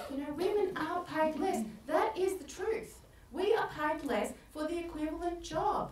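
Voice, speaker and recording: A woman's extremely high-pitched voice at a moderate pace, with ordinary pitch variation and audible room echo. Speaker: life coach. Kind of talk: motivational talk. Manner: animated.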